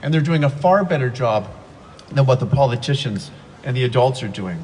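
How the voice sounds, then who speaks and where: Amid noticeable background noise, a man with a medium pitch talks at a fairly quick pace with lively intonation. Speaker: teacher speaking at rally. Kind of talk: rally speech. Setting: outdoor rally with crowd. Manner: fast.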